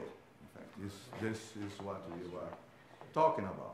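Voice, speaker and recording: Amid noticeable background noise and audible room echo, a man with a Portuguese accent speaks at a fairly low pitch. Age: 60s. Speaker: economics professor. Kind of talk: conference talk. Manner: hesitant, many fillers.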